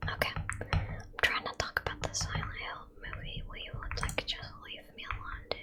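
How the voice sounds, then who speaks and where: Over noticeable background noise, a whisper moves at a moderate pace. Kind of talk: casual ASMR gaming commentary. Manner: annoyed, rambling, reactive to gameplay.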